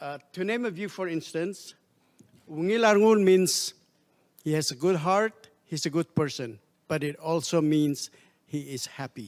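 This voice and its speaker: In a Palauan accent, the speech moves at a fairly slow pace with lively intonation and long, frequent pauses. The recording is very clean with a silent background. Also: man, fairly high pitch for a man. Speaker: diplomat. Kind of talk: formal speech. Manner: formal.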